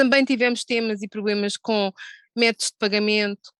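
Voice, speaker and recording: A woman talks in a monotone, flat intonation, the sound dry and close with no echo. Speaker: gambling industry executive. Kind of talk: panel discussion. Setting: video call.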